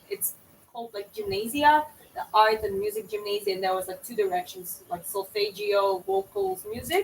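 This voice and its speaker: A woman's fairly high voice, with ordinary pitch variation, is heard against noticeable background noise. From Georgia (country). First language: Georgian. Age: 20s. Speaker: painter streamer. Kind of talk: live stream chat while painting. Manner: halting.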